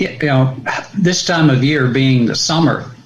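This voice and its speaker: A man at a moderate pace with fairly even intonation, audible room echo, and noticeable background noise. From US Northeast, New Jersey. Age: 60s. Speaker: pastor. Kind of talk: podcast interview.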